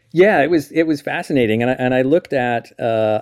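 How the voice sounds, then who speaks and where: A man speaks in a plain, everyday voice at medium pitch. The sound is dry and close with no echo, and his pace is fairly quick. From Eastern Canada. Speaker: mountain guide and professor emeritus. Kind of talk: interview. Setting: remote call.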